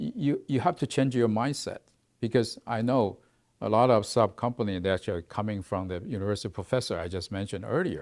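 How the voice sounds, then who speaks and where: With a Mandarin accent, a man speaks fairly quickly at a medium pitch with ordinary variation. The recording is very clean, with a silent background. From Taiwan. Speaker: research institute executive. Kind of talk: interview. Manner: halting.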